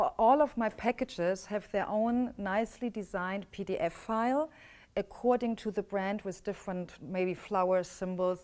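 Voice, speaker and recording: Speaking at a moderate pace with a German accent, a woman comes through on a very clean recording with a silent background. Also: medium pitch for a woman, ordinary pitch variation. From Germany. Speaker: business coach. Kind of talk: workshop teaching.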